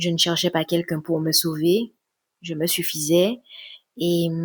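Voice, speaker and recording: Soft-spoken and fairly low in pitch, a woman talks at a fairly slow pace in a dry, close sound with no echo. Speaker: relationship coach and sophrologist. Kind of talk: introspective podcast talk. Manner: soft, low voice.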